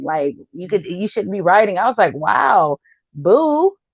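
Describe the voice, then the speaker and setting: A woman talks at a moderate speed, her tone animated. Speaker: comedian. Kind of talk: interview.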